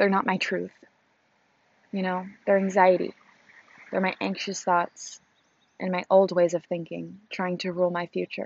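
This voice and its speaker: Her medium-pitched voice stays monotone and flat at a moderate pace, broken by long, frequent pauses. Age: 20s. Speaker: podcaster. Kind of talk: casual monologue. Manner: halting.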